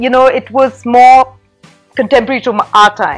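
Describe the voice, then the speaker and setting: A woman talks at a moderate pace with a fairly high pitch and ordinary pitch variation. Music plays in the background. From England and Egypt. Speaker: children's book author. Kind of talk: interview answer. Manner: animated.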